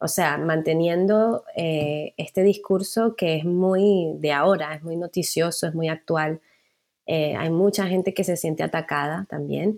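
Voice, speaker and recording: In a very clean recording with a silent background, a woman with a plain, everyday voice speaks at a fairly low pitch and a fairly slow pace, her intonation fairly even. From Venezuela, Caracas. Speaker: journalist. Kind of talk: casual interview chat.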